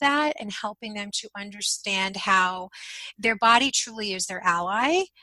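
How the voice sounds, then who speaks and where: A woman's fairly high, unremarkable speaking voice at a fairly slow pace, in a dry, close sound with no echo. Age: 50s. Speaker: intuitive eating coach for midlife women. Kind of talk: interview conversation.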